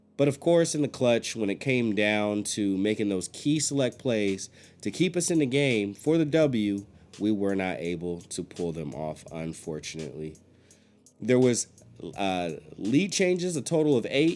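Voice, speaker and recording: Music plays behind a man with a fairly low voice. His pitch swings very widely. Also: moderate pace. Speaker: sports podcast host. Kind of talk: game recap commentary.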